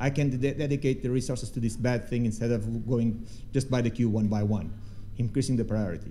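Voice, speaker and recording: Over audible room echo, a man with a dark, mellow tone talks at a very fast pace with ordinary pitch variation. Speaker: threat researcher. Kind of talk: conference talk with Q&A. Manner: halting, many false starts.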